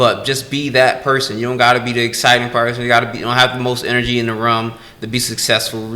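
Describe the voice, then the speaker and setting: A man speaks at a medium pitch. There is noticeable background noise and audible room echo. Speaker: guest entrepreneur. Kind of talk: casual interview chat. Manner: monotone.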